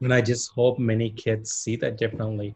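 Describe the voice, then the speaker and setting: Moderate pace, medium pitch and monotone, flat intonation from a somewhat breathy man. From India. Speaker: interview show host. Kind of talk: interview.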